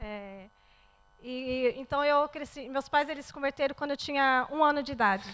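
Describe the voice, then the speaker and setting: With a Brazilian accent, a woman speaks at a moderate pace in a high pitch, her pitch varying in an ordinary way while her loudness swings widely. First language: Portuguese (speaking French). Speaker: churchgoer giving testimony. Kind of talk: testimony. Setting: church.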